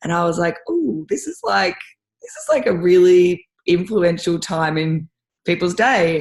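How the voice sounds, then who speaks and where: A fairly slow pace with ordinary pitch variation, in an Australian accent. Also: woman, fairly low pitch for a woman. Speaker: rowing and ski erg coach. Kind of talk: casual chat. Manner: animated.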